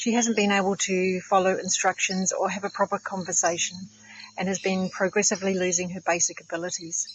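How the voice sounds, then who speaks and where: Fairly quick delivery over noticeable background noise. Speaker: nurse and natural therapies practitioner. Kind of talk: product testimonial.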